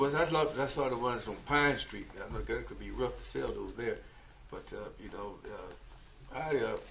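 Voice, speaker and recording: Noticeable background noise, audible room echo and a man's moderate pace with big swings in loudness. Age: 70s. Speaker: planning commission member. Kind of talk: meeting discussion.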